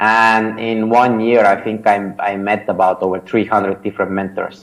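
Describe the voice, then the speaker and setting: A man with an Estonian accent at a medium pitch. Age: 30s. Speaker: startup founder and mentor. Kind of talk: interview. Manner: hesitant, many fillers and repetitions.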